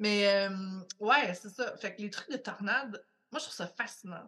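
A woman's medium-pitched voice, bright and sharp in tone, with a Quebec accent. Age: 30s. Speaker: podcast guest. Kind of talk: casual chat.

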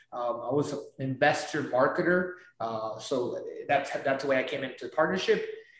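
In a room with audible echo, a man with a fairly high pitch speaks at a moderate pace with ordinary pitch variation. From Peru. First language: Spanish. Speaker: real estate investor. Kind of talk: interview. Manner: animated.

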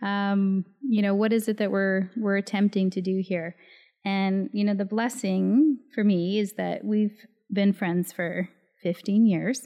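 Fairly slow with fairly even intonation, this is an unremarkable speaking voice. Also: woman, medium pitch for a woman. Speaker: podcast co-host. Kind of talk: casual conversation between friends.

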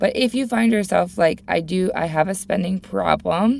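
There is vocal fry in this woman's voice as she talks at a fairly quick pace. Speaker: money coach and podcast host. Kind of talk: solo podcast tutorial. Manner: animated.

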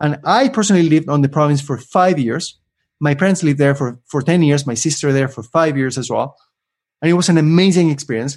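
A man with an Argentine accent speaks at a very fast pace and a fairly high pitch, with ordinary pitch variation and a quiet background. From Argentina. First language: Spanish. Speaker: LinkedIn influencer and career coach. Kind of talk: interview. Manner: animated; fast talker.

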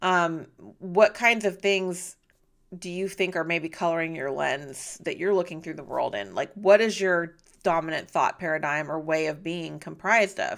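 A woman with an unremarkable speaking voice talks at a fairly low pitch with ordinary pitch variation. Her loudness swings widely in a very clean recording with a silent background. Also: moderate pace. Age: 40s. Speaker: podcast host and wellness coach. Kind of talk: solo podcast monologue.

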